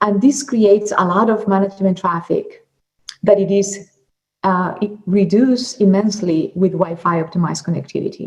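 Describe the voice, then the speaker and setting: A somewhat breathy woman at a moderate pace. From Colombia. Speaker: product marketing manager. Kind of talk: conference presentation.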